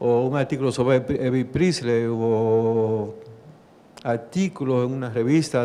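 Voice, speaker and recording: Music plays in the background as a man speaks with a Dominican accent. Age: 60s. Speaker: judge. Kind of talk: talk to an audience. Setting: library event with audience.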